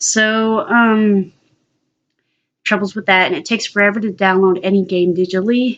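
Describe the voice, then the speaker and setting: A woman talks at a moderate pace in a medium pitch. She leaves long, frequent pauses. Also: fairly even intonation. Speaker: vlogger. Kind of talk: casual monologue to camera. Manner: hesitant, many fillers.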